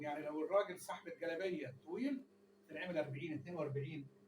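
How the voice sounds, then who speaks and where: This man's pitch is fairly high. He speaks at a fairly quick pace. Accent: Egyptian. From Egypt. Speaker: tailor. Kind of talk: tutorial. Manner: quiet voice, viewers ask him to speak louder.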